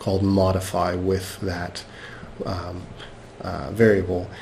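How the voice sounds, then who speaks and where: A man talks at a moderate pace. The recording carries audible room echo and noticeable background noise. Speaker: software instructor. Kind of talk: lecture. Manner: halting.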